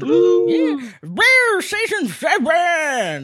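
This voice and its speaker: A put-on character voice mumbles at a fairly high pitch. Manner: slurred, lisping.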